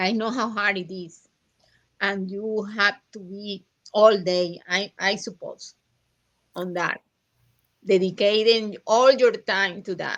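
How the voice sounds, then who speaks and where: A woman with a strong Latin American accent at a medium pitch, very slow with long, frequent pauses, fairly even intonation and big swings in loudness. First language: Spanish. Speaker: estranged mother. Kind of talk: interview. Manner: halting.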